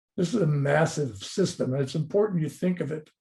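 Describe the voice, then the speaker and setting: Against a quiet background, a man speaks in a fairly high pitch with a dark, mellow tone and a somewhat breathy quality. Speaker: dentist lecturer. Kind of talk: webinar lecture. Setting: online webinar. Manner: fast; passionate, animated.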